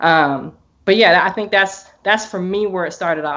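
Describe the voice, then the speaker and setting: A woman with a normal speaking voice and an American accent, medium pitch and ordinary pitch variation, at a moderate pace against a quiet background. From US Northwest, Portland, Oregon. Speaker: business owner and course student. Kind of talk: interview testimony. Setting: video call.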